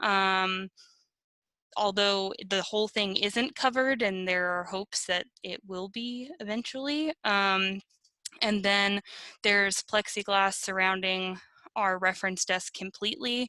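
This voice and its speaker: Slowish in pace, a woman with a medium pitch and ordinary pitch variation speaks in a very clean recording with a silent background. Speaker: archivist. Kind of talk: virtual meeting discussion. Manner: muffled; hesitant.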